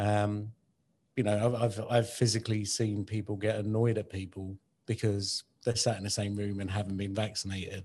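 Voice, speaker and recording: A man with a British accent speaks in a somewhat breathy, dark, mellow tone with monotone, flat intonation. The recording is very clean, with a silent background. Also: fairly low pitch for a man, moderate pace. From UK, Indian heritage. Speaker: podcast co-host. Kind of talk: casual chat.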